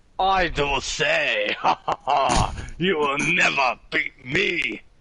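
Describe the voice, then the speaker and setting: Using a put-on character voice, a man speaks in a pompous tone at a very slow pace. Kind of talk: theatrical. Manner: pompous, villainous.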